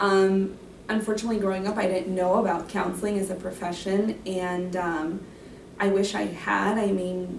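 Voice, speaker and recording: A woman with a Spanish accent, medium in pitch and flat, monotone in intonation, at a moderate pace, with audible room echo and noticeable background noise. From Mexico. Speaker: graduate counseling student. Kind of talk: interview Q&A.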